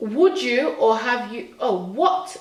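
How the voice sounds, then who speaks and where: A woman talks in an animated tone with very wide pitch swings. Audible room echo and noticeable background noise fill the recording. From born in Nigeria, grew up in England from about age 7. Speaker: vlogger. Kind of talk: casual chat. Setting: at home. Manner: halting.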